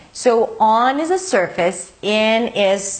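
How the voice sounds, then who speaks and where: A woman with a non-native accent speaks at a fairly high pitch with lively intonation. Noticeable background noise runs underneath. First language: not English. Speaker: English teacher. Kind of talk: tutorial.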